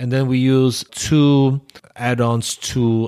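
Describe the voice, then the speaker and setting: A man with a non-native accent speaks on a very clean recording against a silent background. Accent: foreign-accented English. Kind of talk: casual interview chat. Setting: studio.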